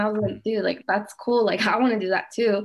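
Here a woman speaks in a normal speaking voice with an American accent. Her pitch is fairly high, her intonation fairly even, and her pace moderate. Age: 20s. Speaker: small business owner. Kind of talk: interview.

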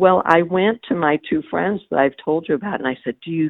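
A woman is speaking. Her intonation is lively. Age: 60s. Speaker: author. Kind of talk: interview. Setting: phone call.

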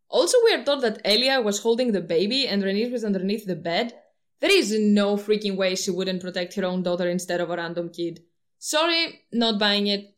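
Speaking at a fairly quick pace, a woman with a non-native accent uses a medium pitch and ordinary pitch variation. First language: not English. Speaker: YouTube book-theory commentator. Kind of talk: video essay monologue. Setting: home recording with poor audio.

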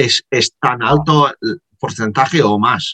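A man's medium-pitched voice with a dry, close sound and no echo. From Liverpool, England. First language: English (speaking Spanish). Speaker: podcast host. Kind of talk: interview. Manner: halting, many fillers.

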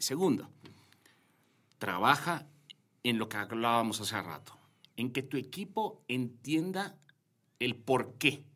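A man with a slight Yucatecan accent speaks at a fairly slow pace, with long, frequent pauses. His pitch moves in very wide swings. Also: very clean recording, silent background. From Yucatán, Mexico. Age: 40s. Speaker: corporate director. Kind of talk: interview conversation. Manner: halting, many fillers and repetitions.

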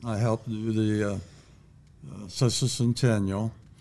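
A man with an Ohio accent, fairly low pitch and fairly even intonation. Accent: Ohio, general American. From Bellbrook, Ohio. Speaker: retired teacher, local historian. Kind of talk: casual interview, storytelling.

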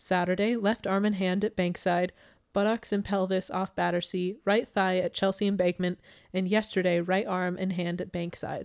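In a very clean recording with a silent background, a woman with a medium pitch speaks in a playful tone with monotone, flat intonation. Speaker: podcast host, true crime storyteller. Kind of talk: casual chat, true crime narration. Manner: fast talker, laughs often; playful, joking.

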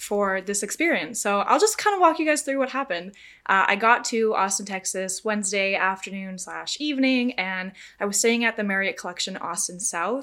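Her tone bright, sharp and animated, a woman speaks at a moderate pace with a fairly high pitch on a very clean recording with a silent background. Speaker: podcast host. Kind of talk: casual chat, solo hosting and interview. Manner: animated, chatty.

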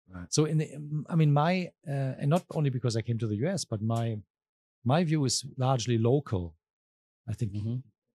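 The speech has long, frequent pauses and lively intonation, and the voice is somewhat breathy. The sound is dry and close, with no echo. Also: man, medium pitch for a man, moderate pace. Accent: German. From southwest Germany. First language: German. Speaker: professor. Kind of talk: casual chat.

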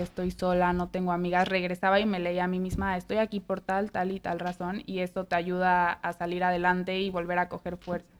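A woman at medium pitch with a Mexican accent, monotone and flat in intonation, at a fairly quick pace. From Mexico. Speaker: podcast host. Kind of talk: casual chat.

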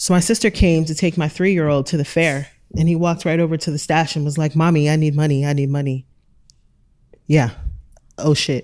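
On a very clean recording with a silent background, a woman speaks with a very deep, low pitch at a fairly quick pace. Her intonation is fairly even, broken by long, frequent pauses. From Europe. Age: 40s. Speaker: entrepreneur. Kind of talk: panel discussion.

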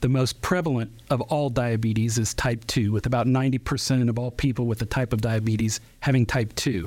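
A man uses a normal speaking voice at a moderate pace with fairly even intonation, recorded very cleanly against a silent background. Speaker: diabetes nurse educator. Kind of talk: radio interview. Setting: studio.

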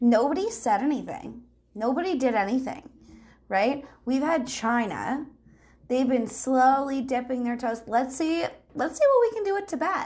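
Lively intonation marks this woman's speech. She has a high pitch and talks with a Canadian accent. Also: moderate pace. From Canada, rural Ontario. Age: 20s. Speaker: guest. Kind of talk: casual chat. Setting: video call.

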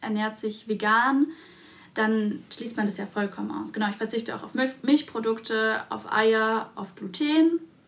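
A woman speaks at a fairly slow pace in a fairly high pitch. Her voice is somewhat breathy. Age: 20s. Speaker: dentist and podcast co-host. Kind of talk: casual chat.

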